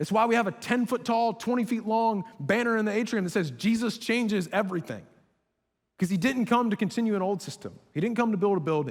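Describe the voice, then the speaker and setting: Talking at a very fast pace, a man with a high pitch sounds animated, with ordinary pitch variation. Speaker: college ministry pastor. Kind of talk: sermon.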